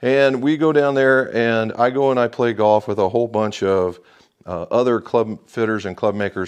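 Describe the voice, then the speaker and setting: Over a quiet background, a man with an ordinary speaking voice talks at a moderate pace, fairly low in pitch with ordinary pitch variation. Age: 60s. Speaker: golf club fitter. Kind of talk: tutorial. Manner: casual, conversational.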